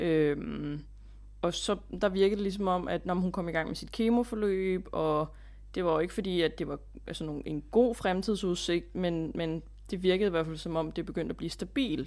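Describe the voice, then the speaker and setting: Speaking with a fairly low pitch, a woman talks at a moderate pace with ordinary pitch variation. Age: 30s. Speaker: relative of cancer patient. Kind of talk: casual interview. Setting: recording remotely from home. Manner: halting, many filler sounds.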